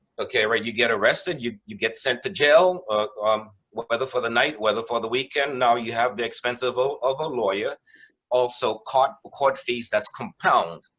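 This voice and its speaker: A man of medium pitch talks at a moderate pace. His tone is bright and sharp, with ordinary pitch variation. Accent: West Indian. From West Indies. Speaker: mediator. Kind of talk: presentation.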